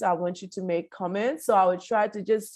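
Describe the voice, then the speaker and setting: A woman with an unremarkable speaking voice, ordinary pitch variation and a moderate pace against a quiet background. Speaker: law professor and association president. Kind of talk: academic lecture over video call.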